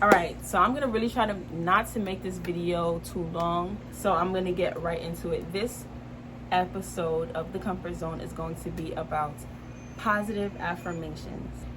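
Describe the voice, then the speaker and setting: With room echo audible and noticeable noise behind her, a woman speaks at a medium speed. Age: 20s. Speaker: lifestyle vlogger. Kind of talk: casual vlog talk.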